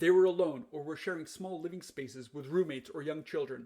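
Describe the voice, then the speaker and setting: A man speaks at a very fast pace in a fairly high pitch. His tone is dark and mellow. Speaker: professor and bioethicist. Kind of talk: scripted narration. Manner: loud.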